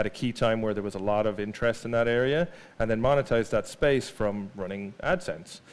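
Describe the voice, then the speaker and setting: Here is a man with an Irish accent. His voice sits at a medium pitch with ordinary pitch variation. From Ireland. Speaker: marketing executive giving a talk. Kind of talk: conference presentation. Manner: casual with many fillers.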